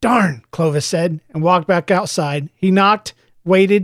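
The pitch shows ordinary variation. It is reading aloud in a natural voice, with a quiet background behind it.

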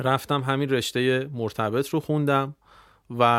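A man talks in a plain, everyday voice, keeping a medium pitch, a moderate pace and fairly even intonation. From Iran, Tehran. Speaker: internet entrepreneur. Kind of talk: casual interview.

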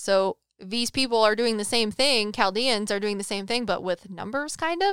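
On a very clean recording with a silent background and a dry, close sound with no echo, a woman uses an ordinary speaking voice at a fairly high pitch, with ordinary pitch variation and a moderate pace. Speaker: psychic medium podcast co-host. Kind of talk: casual chat.

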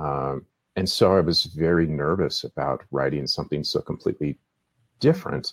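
A man talks at a moderate pace. His voice sounds dry and close, with no echo. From Seattle, US. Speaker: novelist. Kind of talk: interview.

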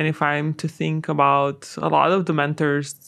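Her voice has a very deep, low pitch and vocal fry as this woman speaks at a moderate pace. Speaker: podcast host. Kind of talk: interview.

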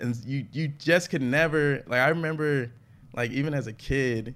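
A man speaks in an ordinary speaking voice, keeping ordinary pitch variation at a moderate pace. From Atlanta, US South. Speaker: comedian. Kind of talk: casual chat.

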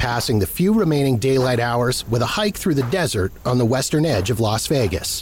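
Over noticeable background noise, the speaker delivers a serious tone with lively intonation at a moderate pace. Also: man. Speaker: true crime narrator. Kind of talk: scripted true-crime narration. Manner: measured, serious storytelling tone; formal, steady pacing.

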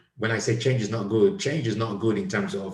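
A man speaks at a fairly quick pace in a medium-pitched, somewhat breathy voice. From Nigeria. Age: 50s. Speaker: podcast host, comedian. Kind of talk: casual chat.

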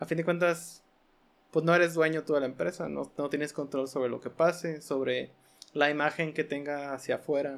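A man speaks in a Mexican accent at a moderate pace, his pitch fairly high and his intonation monotone and flat. The recording is very clean, with a silent background. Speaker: podcast host. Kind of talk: casual chat.

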